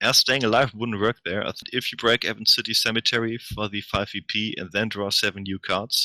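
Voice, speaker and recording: With hardly any pauses, a man speaks at a fairly quick pace in a bright, sharp tone, medium pitch and monotone, flat intonation, the sound dry and close with no echo. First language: not English. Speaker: game commentator. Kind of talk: live commentary.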